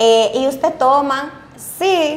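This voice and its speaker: Speaking in a Dominican accent, a woman has a high pitch. Her pitch variation is ordinary. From Mao, Dominican Republic. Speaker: bariatric surgeon. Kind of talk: casual interview chat. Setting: studio. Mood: relaxed and animated. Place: studio.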